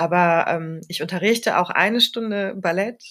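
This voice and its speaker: A woman's fairly low voice, an unremarkable speaking voice at a moderate pace with ordinary pitch variation. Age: 40s. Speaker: yoga studio owner. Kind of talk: casual interview.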